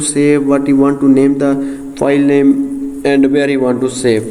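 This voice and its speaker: A man talks at a moderate pace in a fairly high pitch. Audible room echo and noticeable background noise accompany him. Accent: non-native. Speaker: software tutorial creator. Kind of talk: tutorial. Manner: halting, many fillers.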